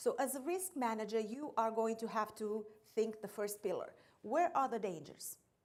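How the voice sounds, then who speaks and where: A woman with a slight non-native accent talks at a moderate pace in a fairly high voice with ordinary pitch variation. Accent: slight foreign. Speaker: insurance account executive. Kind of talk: training seminar presentation.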